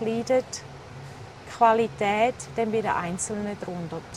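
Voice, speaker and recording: The speaker is a woman. Noticeable background noise runs behind her voice. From eastern Switzerland, St. Gallen. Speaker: restaurant founder. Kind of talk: interview.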